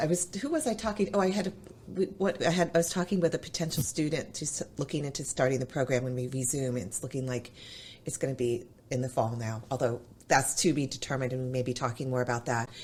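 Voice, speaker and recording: Very wide pitch swings mark a woman's somewhat breathy voice as she talks at a very fast pace. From New England. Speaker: chef and culinary instructor. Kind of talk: podcast interview.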